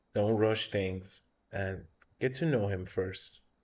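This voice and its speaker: A man speaks with a non-native accent at a very slow pace, his voice somewhat breathy. His pitch is fairly low and his intonation fairly even. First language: not English. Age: 30s. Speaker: tarot reader streamer. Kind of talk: live stream tarot reading. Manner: casual.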